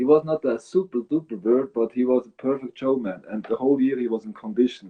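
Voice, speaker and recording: With a Swiss German accent, a man talks at a fairly quick pace, his pitch medium and his intonation lively. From Switzerland. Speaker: bird breeder. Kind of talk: interview. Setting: live video stream.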